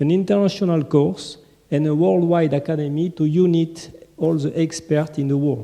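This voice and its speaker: Someone speaks at a moderate pace with a French accent. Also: man, fairly high pitch for a man, ordinary pitch variation. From France. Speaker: conference presenter. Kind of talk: conference presentation. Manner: halting.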